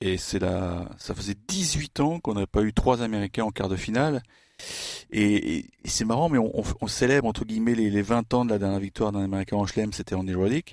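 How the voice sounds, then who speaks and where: A man with an unremarkable speaking voice talks at a fairly quick pace with ordinary pitch variation, the sound dry and close with no echo in a very clean recording against a silent background. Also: fairly low pitch for a man. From France. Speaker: tennis journalist. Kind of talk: casual chat.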